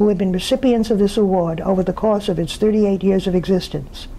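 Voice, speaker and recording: Noticeable background noise fills this recording. A woman with a medium-pitched voice talks very fast. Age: 80s+. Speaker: sociologist receiving an award. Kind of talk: prepared acceptance speech. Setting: pre-recorded remotely, not present at event. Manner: formal.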